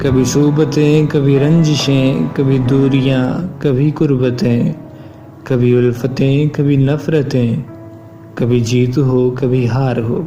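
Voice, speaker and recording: Over music in the background, a man speaks at a medium pitch with fairly even intonation and very even loudness. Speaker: voiceover artist. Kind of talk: poetry reading.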